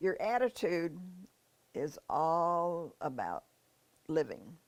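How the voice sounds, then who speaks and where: A woman with a fairly low pitch and lively intonation, in a Midwestern American accent. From US Midwest, northeast Missouri. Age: 90s. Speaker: retired nurse. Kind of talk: interview. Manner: hesitant, with fillers and repeats.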